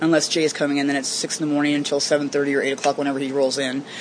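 Over noticeable background noise, a woman with a very deep, low pitch speaks at a very fast pace. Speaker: bartender. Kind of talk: casual interview. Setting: in a bar.

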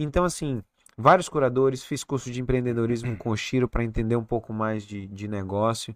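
At a fairly quick pace, a man with a plain, everyday voice talks at medium pitch with ordinary pitch variation against a quiet background. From Recife, northeast Brazil. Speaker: head and neck surgeon. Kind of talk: casual interview chat.

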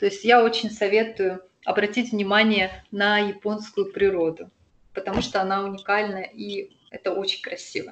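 A woman speaks at a medium pitch with flat, monotone intonation. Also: moderate pace. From Russian Far East, Sakhalin. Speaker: expat local guide. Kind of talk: interview.

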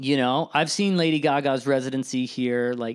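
A man with an unremarkable speaking voice, medium in pitch, talks at a moderate pace with fairly even intonation on a very clean recording with a silent background. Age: 30s. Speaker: lighting designer. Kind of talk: casual chat. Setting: studio.

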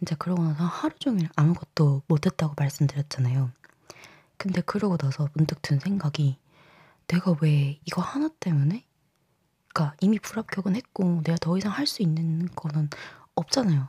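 At a moderate pace, a woman's somewhat breathy, fairly low voice keeps very even loudness and ordinary pitch variation. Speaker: podcast host. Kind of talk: casual solo podcast monologue. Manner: conversational, candid, chatty.

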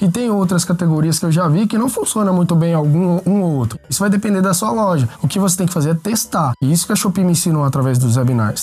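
Pitched high, a man's voice is heard over noticeable background noise. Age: 20s. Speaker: online shop co-founder. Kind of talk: interview. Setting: studio.

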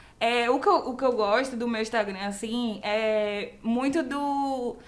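Amid noticeable background noise and audible room echo, a woman talks at a high pitch with ordinary pitch variation. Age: 20s. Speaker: comedy producer. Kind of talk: casual chat.

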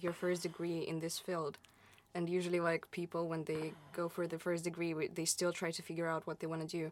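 With an unremarkable speaking voice, a woman talks at a fairly quick pace and a fairly low pitch. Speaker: student podcast host. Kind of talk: interview.

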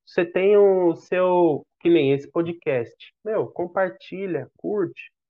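A man with a high voice speaks at a very slow pace, with hardly any pauses. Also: ordinary pitch variation. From Brazil, São Paulo. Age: 30s. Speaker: father sharing life story. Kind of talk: podcast interview, personal testimony.

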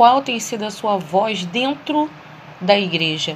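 Noticeable background noise sits behind a woman's voice. Her pitch is fairly high and her intonation lively. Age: 40s. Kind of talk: solo monologue reflection.

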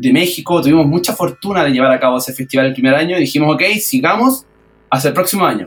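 This is a man with a normal speaking voice. His pitch sits fairly high and shows ordinary variation. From Chile, Valparaíso region. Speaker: accordion festival organizer and musician. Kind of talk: radio interview.

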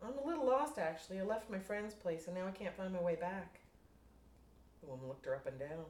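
A woman's somewhat breathy voice at medium pitch. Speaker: fiction writer. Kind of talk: reading aloud.

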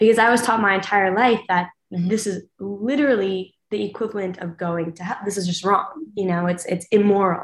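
A woman speaks in a plain, everyday voice of medium pitch. Her intonation is fairly even and her pace moderate. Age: 20s. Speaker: university student, reality show cast member. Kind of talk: interview.

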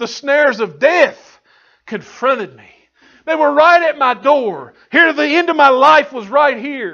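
A man projects a raised, animated voice at an extremely high pitch. He speaks fairly slowly with ordinary pitch variation. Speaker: preacher. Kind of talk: sermon. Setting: church. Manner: animated, call-and-response preaching with frequent hallelujahs; rhythmic, emphatic, fervent delivery.

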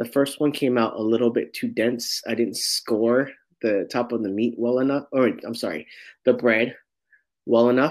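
Male speaker in a Californian accent, with fairly even intonation. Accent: Californian American English. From San Francisco, Sunset District. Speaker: guest, home baker. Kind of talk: casual interview.

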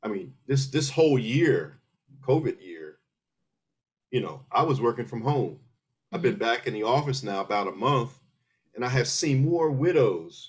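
With an American accent, a man of medium pitch speaks at a moderate pace with lively intonation and vocal fry. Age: 60s. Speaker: military veteran. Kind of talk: casual chat.

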